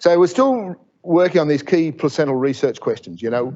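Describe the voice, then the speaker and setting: Lively intonation in an Australian accent. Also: man. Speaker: professor. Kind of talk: lecture. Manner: fast; animated.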